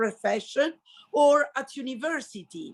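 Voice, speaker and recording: A woman with an Italian accent speaks at a very slow pace with ordinary pitch variation. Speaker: high school language teacher. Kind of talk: interview.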